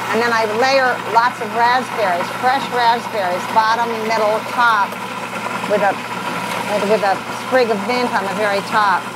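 Loud noise fills the background. The speech moves at a fairly slow pace. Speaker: cooking show host. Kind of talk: cooking demonstration chat. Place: kitchen.

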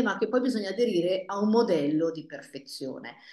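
A woman speaks with lively intonation, her voice carrying an audible room echo over a quiet background. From northern Italy, Paderno Dugnano near Milan; northern Italy. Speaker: family therapist; guest. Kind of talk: panel discussion. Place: office. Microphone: earbuds.

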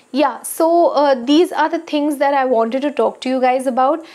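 A woman speaks with a high pitch and ordinary pitch variation. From India. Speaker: skincare YouTuber. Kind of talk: casual vlog talk to camera. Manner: frequent hesitations (uh). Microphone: lapel.

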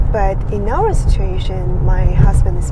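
A woman is speaking here. Loud background noise runs behind her. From China, Korean Chinese background. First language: Chinese or Korean. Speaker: vlogger and mother. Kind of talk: casual vlog monologue. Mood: thoughtful, calm. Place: car. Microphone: phone near.

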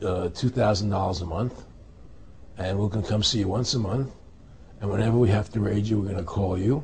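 Somewhat breathy and with ordinary pitch variation, a man speaks over light background noise. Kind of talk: interview answer. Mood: indignant, recounting injustice. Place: home room. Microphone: lapel.

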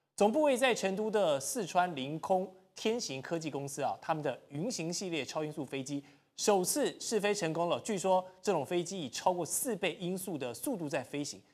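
This man talks at a moderate pace. Behind him, the background stays quiet. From Taiwan. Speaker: TV talk show host. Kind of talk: political talk show. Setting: TV studio. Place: studio.

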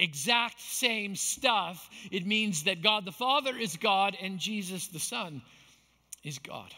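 This man uses a raised, projected voice with a bright, sharp tone and high pitch, varying it in an ordinary way. He speaks at a fairly slow pace against a quiet background. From Canada, Manitoba. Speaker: pastor. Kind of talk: sermon. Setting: church. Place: stage.

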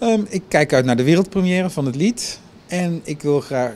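Moderate pace from a man, with light background noise. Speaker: competition director. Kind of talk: interview. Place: street. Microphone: handheld.

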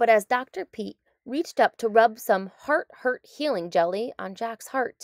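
With the background quiet, a natural voice reads aloud, its intonation lively.

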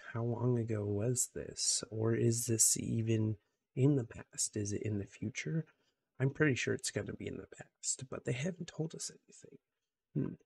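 A soft-spoken, whispering man, somewhat breathy, at a moderate pace with big swings in loudness over light background noise. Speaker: gaming YouTuber. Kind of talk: casual video monologue. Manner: soft-spoken, quiet; excited, with many filler words. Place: home room. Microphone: studio mic.

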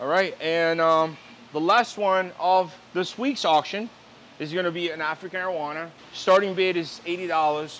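A man's high-pitched voice, upbeat and enthusiastic, at a fairly slow pace over light background noise. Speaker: fish seller and auctioneer. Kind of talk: sales pitch, fish auction. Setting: fish facility, filmed on camera. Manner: upbeat, enthusiastic, casual. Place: shop. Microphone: lapel.

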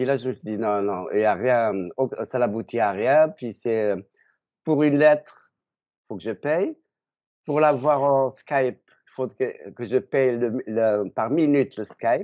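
Against a quiet background, the speech moves at a very slow pace with long, frequent pauses, big swings in loudness and ordinary pitch variation. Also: man, medium pitch for a man. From Algeria. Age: 60s. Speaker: retiree, dating agency client; interviewee. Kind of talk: interview; interview answer. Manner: halting. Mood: friendly, smiling. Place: home room. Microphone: video call.

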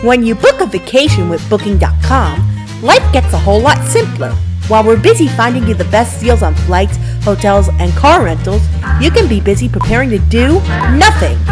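A woman speaks at a moderate pace with a very deep, low pitch and very wide pitch swings. Music plays in the background. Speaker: voice actor. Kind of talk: TV commercial read.

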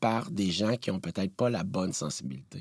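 Lively in intonation, a man has an ordinary speaking voice, recorded very cleanly against a silent background with a dry, close sound and no echo. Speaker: TV producer. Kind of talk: interview.

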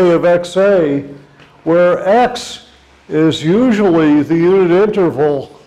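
A man with a high pitch talks at a very slow pace, his pitch varying in an ordinary way. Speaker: visiting lecturer. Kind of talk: lecture. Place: classroom. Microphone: lapel.

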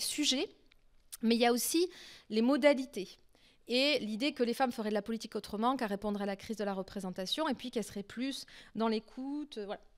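Against a quiet background, a woman talks at a very fast pace with a high voice and ordinary pitch variation. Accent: French. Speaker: political science researcher; speaker. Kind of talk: academic lecture. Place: stage. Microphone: handheld.

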